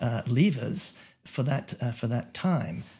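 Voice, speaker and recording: A man speaks in an Australian accent with a dark, mellow tone. His intonation is lively and his voice is somewhat breathy. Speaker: economist. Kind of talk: interview. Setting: remote call.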